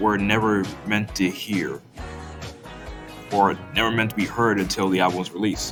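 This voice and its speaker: Music plays in the background as a man with a fairly low pitch speaks at a fairly slow pace. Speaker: music commentary youtuber. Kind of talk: commentary talk to camera.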